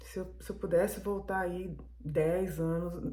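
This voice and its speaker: There is audible room echo around this female speaker. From Brazil. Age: 60s. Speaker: vlogger. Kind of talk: casual monologue vlog. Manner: halting, with fillers.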